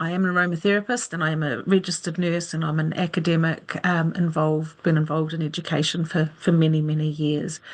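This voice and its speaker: The pace is very fast, with a New Zealand accent. The intonation stays flat and monotone. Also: woman, fairly low pitch for a woman. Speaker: aromatherapist, nurse and academic presenter. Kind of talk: webinar lecture. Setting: video call webinar with screen share.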